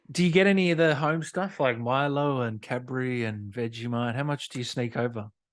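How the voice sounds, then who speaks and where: Against a quiet background, a man with an Australian accent talks at a medium pitch and a moderate pace with ordinary pitch variation. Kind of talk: casual interview host.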